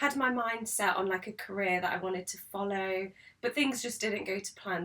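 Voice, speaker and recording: Her intonation fairly even, a woman speaks at a medium pitch with a British accent. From UK. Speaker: podcast co-host. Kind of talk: casual chat. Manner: halting.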